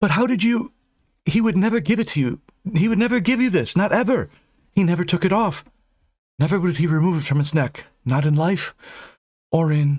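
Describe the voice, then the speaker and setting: A man puts on a shrill, high-pitched character voice at a fairly quick pace. His pauses are long and frequent. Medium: read story. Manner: dramatic, emotional.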